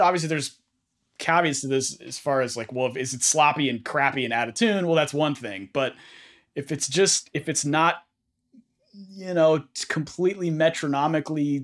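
A man with an American accent speaks in a normal speaking voice, fairly high in pitch, with ordinary pitch variation at a moderate pace on a very clean recording with a silent background. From US West Coast, San Francisco Bay Area. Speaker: guitarist. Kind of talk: casual interview.

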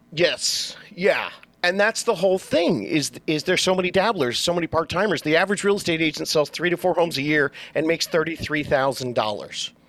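Through noticeable background noise, a man with an American accent speaks fairly quickly at a high pitch, with ordinary pitch variation and very even loudness. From Southern California, Orange County. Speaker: real estate agent. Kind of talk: casual interview.

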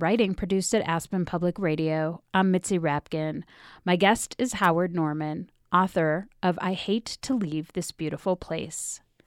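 A woman with a plain, everyday voice and fairly low pitch talks at a moderate pace with fairly even intonation, dry and close with no echo, in a very clean recording with a silent background. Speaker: radio host. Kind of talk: radio interview.

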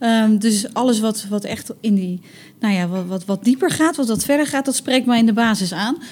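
With a fairly high pitch and ordinary pitch variation, a woman speaks at a moderate pace in a somewhat breathy voice. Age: 30s. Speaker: recruitment communications specialist at a hospital. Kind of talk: casual interview. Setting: on location at workplace.

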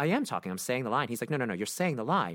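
A man with an American accent talks at a very fast pace, his pitch swinging very widely with vocal fry. The recording is very clean, with a silent background. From Brooklyn, New York. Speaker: Broadway actor and singer. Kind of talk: casual interview chat.

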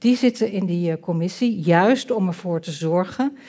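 Speech comes at a very slow pace. Its dark, mellow tone carries ordinary pitch variation. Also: woman. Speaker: politician and political scientist. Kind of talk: panel discussion. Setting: stage with audience.

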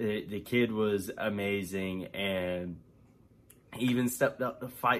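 Using an ordinary speaking voice, a man talks at a fairly slow pace with ordinary pitch variation. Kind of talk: game recap.

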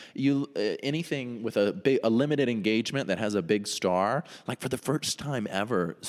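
A man with an American accent and a plain, everyday voice speaks with lively intonation at a moderate pace. The recording is very clean, with a silent background. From North Carolina. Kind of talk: casual chat.

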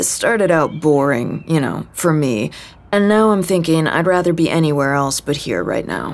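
This woman puts on a character voice, low in pitch with big swings. Her pace is moderate.

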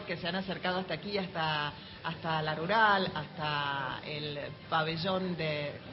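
Someone talks at a fairly slow pace with ordinary pitch variation, over noticeable background noise. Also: woman. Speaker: radio host. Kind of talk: live radio show hosting. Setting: book fair, live audience.

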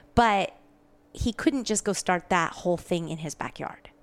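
In an American accent, a woman with a medium pitch and lively intonation speaks on a very clean recording with a silent background. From US Pacific Northwest. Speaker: conservation advocate. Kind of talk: interview. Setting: studio.

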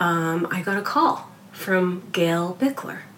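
Over noticeable background noise, a woman speaks at a fairly low pitch with fairly even intonation. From Canada. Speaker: magazine design director. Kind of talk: interview.

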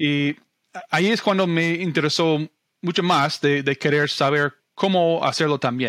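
With an English accent, a man speaks fairly slowly in a fairly high pitch, his intonation fairly even and loudness very even, on a very clean recording with a silent background and a dry, close sound with no echo. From US Midwest, Omaha, Nebraska. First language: English (speaking Spanish). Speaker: real estate investor. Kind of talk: interview. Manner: halting, many repetitions and fillers.

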